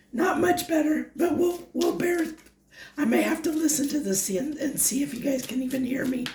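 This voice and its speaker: A woman speaks in a high voice with lively intonation. Noticeable background noise is present. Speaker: tarot reader. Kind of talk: tarot reading monologue. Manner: halting.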